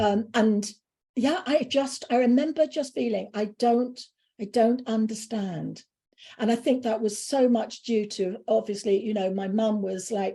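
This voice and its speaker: Somewhat breathy and dark, mellow in tone, a woman with an English accent speaks at a fairly slow pace in a fairly high pitch. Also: ordinary pitch variation. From UK. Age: 60s. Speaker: spiritual speaker. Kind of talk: interview.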